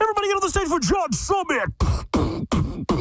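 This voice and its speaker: In a put-on character voice, the man pitches himself extremely high while keeping to a moderate pace. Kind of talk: announcer voice. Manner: hype, excited.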